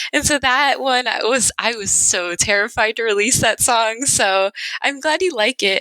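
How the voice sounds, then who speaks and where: Fairly high in pitch, a woman speaks at a fairly slow pace in a bright, sharp tone. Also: ordinary pitch variation, very even loudness, dry, close sound with no echo. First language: Spanish. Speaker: musician. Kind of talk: casual chat.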